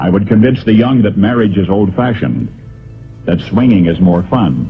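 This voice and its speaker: Music plays in the background as a man speaks. His intonation is lively. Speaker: radio broadcaster. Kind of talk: essay reading.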